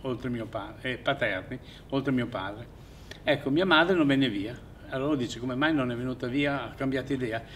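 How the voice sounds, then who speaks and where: A man talks at a fairly quick pace in a medium pitch with ordinary pitch variation. Audible room echo surrounds his voice. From Fiume (Rijeka), raised in Italy: Aversa camp then Bologna. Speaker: exile witness. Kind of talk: testimony. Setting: theatre. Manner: halting.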